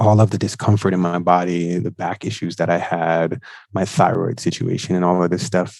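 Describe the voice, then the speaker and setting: A man with a very deep, low pitch and a New York accent speaks at a fairly quick pace with fairly even intonation. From Brooklyn, New York. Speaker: nurse and psychedelic integration coach. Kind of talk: interview testimony.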